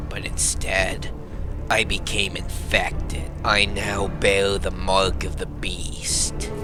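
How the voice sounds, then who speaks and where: Through loud background noise, a man puts on a character voice and speaks at a very slow pace. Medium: machinima. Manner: reflective, somber storytelling.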